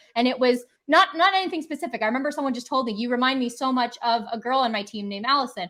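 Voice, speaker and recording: With a Canadian accent, a woman talks at a very fast pace in a high, raised and projected voice, with an animated tone and ordinary pitch variation. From Canada. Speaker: podcast co-host. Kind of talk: podcast interview.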